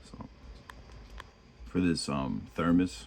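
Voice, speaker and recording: Very deep and low, a man's voice with a New York accent shows vocal fry and ordinary pitch variation. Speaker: miniature painting youtuber. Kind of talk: painting tutorial. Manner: casual, halting with fillers.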